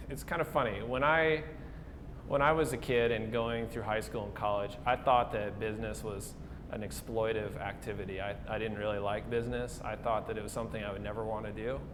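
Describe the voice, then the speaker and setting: In an Upper Midwest accent, a man talks at a fairly quick pace with a medium pitch and ordinary pitch variation, with audible room echo. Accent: Upper Midwest American. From South Dakota (Pierre). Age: 20s. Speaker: coffee shop owner. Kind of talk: interview. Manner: casual, with frequent fillers.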